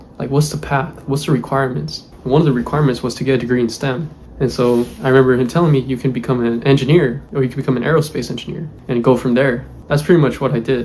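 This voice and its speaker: Ordinary rises and falls in pitch, very fast delivery, and noticeable noise behind. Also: man, medium pitch for a man. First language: Spanish. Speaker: aerospace engineer, YouTuber. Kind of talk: personal vlog, life story. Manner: casual, filler-heavy.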